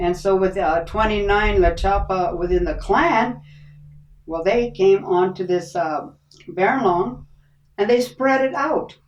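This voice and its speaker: A woman at medium pitch speaks at a fairly slow pace with lively intonation. Noticeable background noise is present. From Viejas Reservation, San Diego County, California. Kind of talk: podcast interview, oral history.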